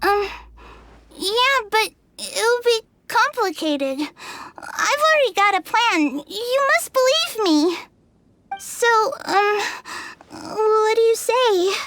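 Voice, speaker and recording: An extremely high-pitched put-on character voice at a very slow pace, broken by long, frequent pauses. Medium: video game. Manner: stammering, hesitant.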